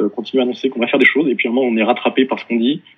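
A man speaks with a medium pitch. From Paris, France. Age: 30s. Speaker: sales manager at a start-up. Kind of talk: interview testimony. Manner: halting, many repetitions.

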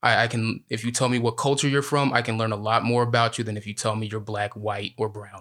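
A man talks at a very fast pace with hardly any pauses. His medium-pitched voice has monotone, flat intonation. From US Midwest, Illinois. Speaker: podcast co-host. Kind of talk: casual political discussion.

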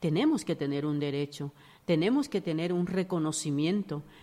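With a dark, mellow tone and a fairly low pitch, a woman talks at a moderate pace with ordinary pitch variation. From Dominican Republic. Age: 50s. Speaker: domestic worker and activist. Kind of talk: interview.

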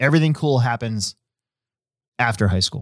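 The recording is very clean with a silent background and a dry, close sound with no echo, and the speaker moves at a fairly quick pace with ordinary pitch variation. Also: man. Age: 40s. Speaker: podcast host and hobby shop race director. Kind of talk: casual chat; reading race results. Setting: live-streamed studio show.

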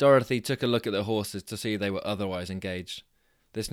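A passage is read aloud in a natural voice, its pitch moving in an ordinary way.

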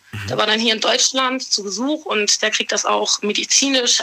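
Noticeable background noise sits behind a woman speaking at a fairly high pitch and moderate pace with fairly even intonation. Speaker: caller. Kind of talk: confessional phone call.

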